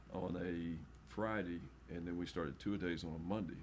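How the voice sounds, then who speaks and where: A man's very deep, low voice comes at a moderate pace, with audible room echo around it. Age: 60s. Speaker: football coach. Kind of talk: casual chat.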